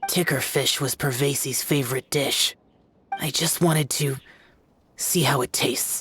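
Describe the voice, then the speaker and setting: A put-on character voice sits at a low-to-middle pitch and moves at a moderate pace. Long pauses come often. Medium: video game. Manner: terse, reserved.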